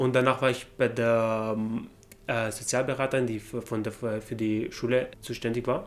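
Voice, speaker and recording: A man with an Arabic accent, flat and monotone in intonation. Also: medium pitch for a man, moderate pace. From Syria, Damascus. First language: Arabic (speaking German). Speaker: refugee interviewee. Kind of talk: interview testimony. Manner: halting.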